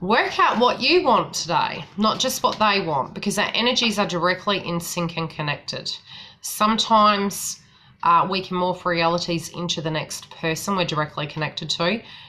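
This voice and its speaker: A woman speaks at a medium pitch with a bright, sharp tone. Her pace is moderate, with ordinary pitch variation. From New Zealand. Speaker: psychic tarot reader. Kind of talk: live-stream astrology reading with chat. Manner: casual, rambling with fillers.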